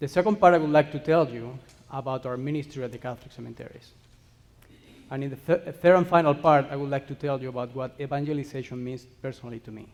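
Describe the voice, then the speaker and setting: Speaking at a very fast pace with a Spanish accent, a man with a fairly high pitch shows big swings in loudness. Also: ordinary pitch variation. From Spain. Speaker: cemetery ministry worker. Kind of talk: conference presentation.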